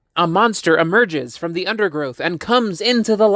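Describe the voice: This is plain reading aloud. The speaker simply reads the text.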